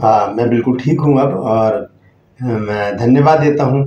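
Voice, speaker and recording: A man with a medium pitch and ordinary pitch variation speaks in a dark, mellow tone that is somewhat breathy. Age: 60s. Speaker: pastor. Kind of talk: sermon. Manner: halting.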